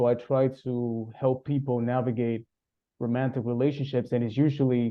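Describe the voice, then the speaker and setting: A man speaks at a medium pitch with a Spanish accent. His intonation stays monotone and flat. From Cuba (Havana). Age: 30s. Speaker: relationship coach. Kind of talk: interview conversation.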